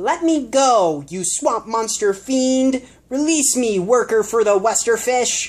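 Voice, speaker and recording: A put-on character voice shouts at a fairly high pitch. The pace is fairly slow. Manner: screaming, indignant.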